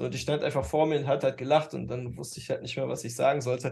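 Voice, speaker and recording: A man talking at a very fast pace with vocal fry, against a quiet background. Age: 30s. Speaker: dating coach podcast co-host. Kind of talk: casual chat. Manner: halting, many fillers.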